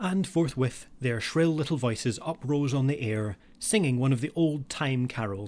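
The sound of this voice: The voice reads in an unforced reading voice.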